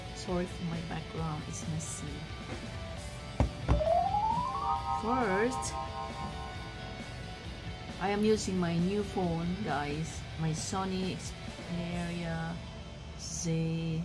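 With clear music in the background, a woman speaks at a very slow pace, leaving long, frequent pauses. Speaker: vlogger. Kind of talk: casual mukbang vlog chat. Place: home room. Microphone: phone near.

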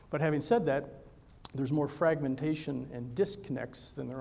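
Talking at a fairly quick pace, a man uses a fairly high pitch and a dark, mellow tone, with vocal fry. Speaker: physician and health tech executive. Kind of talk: conference presentation. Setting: stage with audience.

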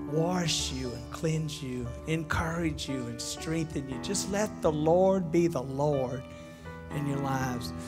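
A man talks fairly slowly while clear music sounds behind him. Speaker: preacher. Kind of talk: sermon. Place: church. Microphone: headset.

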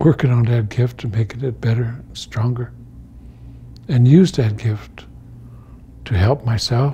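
Somewhat breathy, a man talks at a fairly slow pace with long, frequent pauses. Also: ordinary pitch variation. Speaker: elder storyteller and teacher. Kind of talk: storytelling talk. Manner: slow, reflective. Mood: calm, solemn, reflective. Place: home room.

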